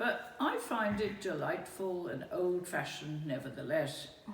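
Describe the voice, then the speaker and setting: Against noticeable background noise, a woman speaks at a fairly low pitch and a fairly slow pace. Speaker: spoken word performer. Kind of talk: spoken word reading of personal memoir.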